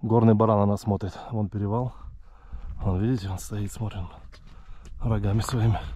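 A man's dark, mellow tone at a moderate pace, with long, frequent pauses, on a very clean recording with a silent background. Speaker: hiking vlogger. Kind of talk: casual vlog narration while hiking. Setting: outdoors, mountain trail. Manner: casual, halting.

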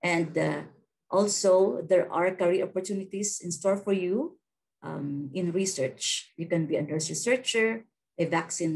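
Speaking at a fairly slow pace, a woman with a fairly low pitch shows vocal fry and ordinary pitch variation. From Philippines. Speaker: nursing faculty member giving a career talk. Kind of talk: virtual presentation. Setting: video call. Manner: halting, with many fillers. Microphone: webcam.

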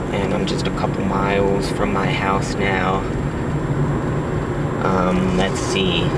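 A man at a very slow pace with ordinary pitch variation, in a dry sound with no echo, amid loud background noise. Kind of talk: casual vlog chat. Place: car. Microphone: phone near.

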